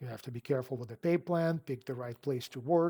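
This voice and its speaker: A man's dark, mellow voice holds fairly even intonation in a very clean recording with a silent background. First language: not English. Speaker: car sales coach. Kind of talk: advice talk to camera. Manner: casual, conversational.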